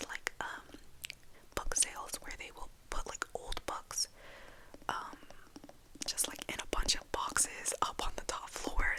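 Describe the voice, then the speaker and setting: Whispering at a fairly slow pace, a woman is heard through noticeable background noise. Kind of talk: ASMR whispered book rambling. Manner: whispered; rambling, casual.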